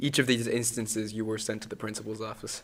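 The speech comes at a very fast pace in a General American accent, with monotone, flat intonation. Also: man. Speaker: podcast host. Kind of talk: casual chat.

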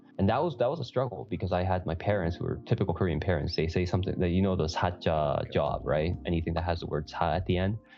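With a Canadian accent, a man speaks at a very fast pace while music plays in the background. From Canada, Toronto. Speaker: podcast co-host, physician in pharmaceuticals. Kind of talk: casual interview chat.

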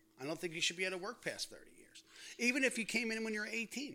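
A man with an American accent uses a raised, projected voice, his tone bright and sharp and his intonation lively. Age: 60s. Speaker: retired firefighter. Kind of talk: casual chat. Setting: home dining room.

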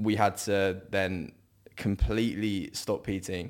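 On a very clean recording with a silent background, a man with an English accent and a fairly low pitch talks at a very slow pace with fairly even intonation. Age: 20s. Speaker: online fitness coach. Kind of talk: casual chat. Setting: studio. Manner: hesitant, many ums.

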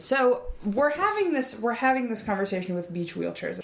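Noticeable noise sits behind a woman's speech. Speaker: podcast host. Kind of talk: scripted comedy podcast, casual banter.

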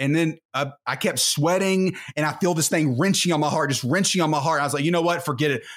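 With an American accent, the speaker goes at a very fast pace with hardly any pauses, very even loudness and fairly even intonation, on a very clean recording with a silent background. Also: man, fairly high pitch for a man. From small town Texas (Terrell). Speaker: former pro football player and preacher. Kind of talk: interview testimony.

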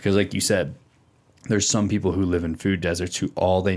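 A man with a very deep, low voice speaks in a flat monotone, recorded very cleanly against a silent background. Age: 30s. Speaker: podcast host. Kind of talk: casual chat. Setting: studio.

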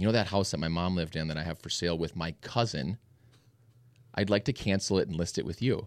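A man's very deep, low voice with an American accent at a very fast pace, on a very clean recording with a silent background. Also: ordinary pitch variation. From Minnesota, Minneapolis suburbs. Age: 30s. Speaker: real estate agent and team leader. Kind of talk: casual chat.

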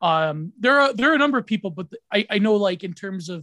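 A man with a high pitch uses a raised, projected voice in an animated, bright, sharp tone, captured in a very clean recording with a silent background and a dry, close sound with no echo. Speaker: podcaster and online commentator. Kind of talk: casual conversational interview. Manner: animated, laughs often.

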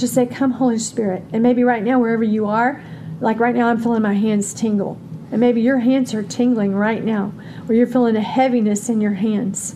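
Fairly quick speech from a woman, monotone and flat in intonation, very even in loudness, against noticeable background noise. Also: fairly high pitch for a woman. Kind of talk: fervent prayer. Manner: fervent, earnest, praying.

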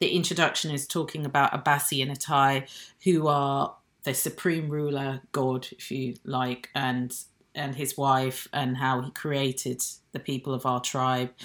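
With a British accent, a woman speaks fairly slowly in a very deep, low voice and a flat monotone. The recording is very clean and the background silent. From born in Nigeria, raised in Britain. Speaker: jazz saxophonist. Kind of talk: casual interview chat.

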